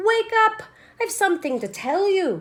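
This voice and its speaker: Using a put-on character voice, a woman speaks at a moderate pace in an extremely high, squeaky pitch. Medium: read story. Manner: patient, practical.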